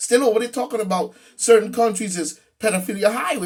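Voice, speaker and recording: The delivery has an animated tone. The pace is fairly quick. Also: man. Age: 50s. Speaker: political commentator. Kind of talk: monologue rant.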